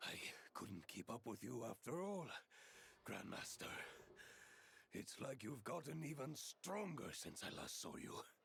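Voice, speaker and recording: In a raspy put-on character voice with a fairly high pitch, a man talks at a moderate pace with long, frequent pauses. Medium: video game.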